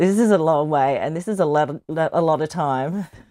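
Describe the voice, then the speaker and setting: A woman with an Australian accent, her pitch very deep and low, with ordinary pitch variation. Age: 50s. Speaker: charity marathon runner. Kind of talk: interview.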